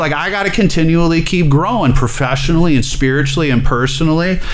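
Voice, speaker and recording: A man with an American accent and a fairly high pitch talks at a very fast pace with hardly any pauses. Noticeable background noise and audible room echo fill the recording. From Alabama, US South. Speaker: addiction therapist. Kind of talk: testimony.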